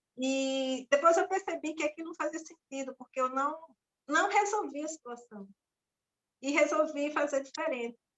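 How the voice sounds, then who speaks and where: Ordinary pitch variation from a woman with a high voice, at a moderate pace. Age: young. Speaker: former teacher. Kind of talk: casual chat. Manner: loud.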